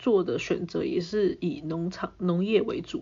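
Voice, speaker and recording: A woman's medium-pitched voice with lively intonation. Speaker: podcast host. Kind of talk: casual solo storytelling.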